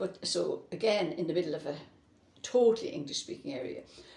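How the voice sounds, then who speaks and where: With an Irish accent, a woman talks at a moderate pace. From Ireland (Cavan, Drogheda, Longford). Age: 80s+. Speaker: interviewee on Irish-language education. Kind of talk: oral history interview.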